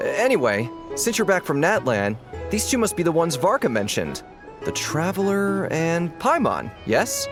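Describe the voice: Over faint background music, a man does a put-on character voice at a fairly high pitch with very wide pitch swings. He talks at a fairly slow pace with few pauses.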